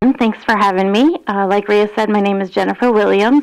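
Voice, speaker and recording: This is an unremarkable speaking voice, a woman's, at medium pitch. She talks at a fairly quick pace with lively intonation. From upstate New York. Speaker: county employee. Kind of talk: public meeting self-introduction.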